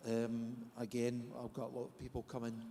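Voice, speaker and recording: A man speaks with a Scottish accent. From Scotland. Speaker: therapist. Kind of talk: panel discussion. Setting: conference stage with audience.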